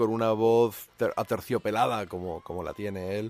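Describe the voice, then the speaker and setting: With fairly even intonation, a plain, everyday voice belongs to a man talking at a medium pitch. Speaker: radio host. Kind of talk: radio show hosting with music talk. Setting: studio.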